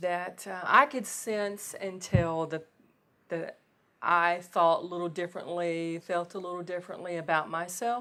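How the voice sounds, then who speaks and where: A woman with a Southern US accent speaks at a fairly slow pace in a medium pitch, her tone bright and sharp. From US South, Gulfport, Mississippi. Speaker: interviewee. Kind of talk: interview.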